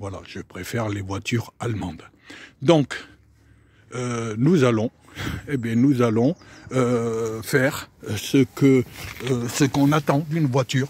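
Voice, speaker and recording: Over noticeable background noise, a man with a medium pitch and ordinary pitch variation speaks at a very slow pace with long, frequent pauses, in a dry, close sound with no echo. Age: 60s. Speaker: private car seller. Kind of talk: casual video selling a car. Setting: in a car. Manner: hesitant, many fillers.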